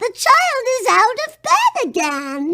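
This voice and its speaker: An extremely high, squeaky put-on character voice swings very widely in pitch. It moves at a fairly slow pace. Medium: read story.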